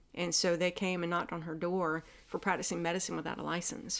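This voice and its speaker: She speaks with an American accent at a fairly low pitch. Her pace is very fast, her intonation fairly even. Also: very clean recording, silent background. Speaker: acupuncturist. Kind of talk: casual interview chat.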